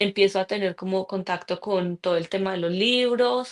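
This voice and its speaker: A woman's medium-pitched voice with a paisa accent, fairly slow pace and ordinary pitch variation, in a dry, close sound with no echo. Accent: Colombian Spanish (paisa region). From Colombia, Pensilvania, Caldas. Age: 30s. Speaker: author. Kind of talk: interview.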